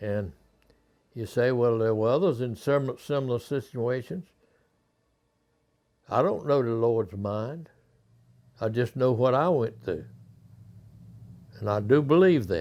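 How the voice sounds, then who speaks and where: With a North Carolina accent, the speaker uses lively intonation at a fairly slow pace, leaving long, frequent pauses. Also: man, medium pitch for a man. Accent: Southern US (North Carolina). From Clayton, North Carolina. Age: 80s+. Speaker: war veteran, mule dealer. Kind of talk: interview answer, reminiscence.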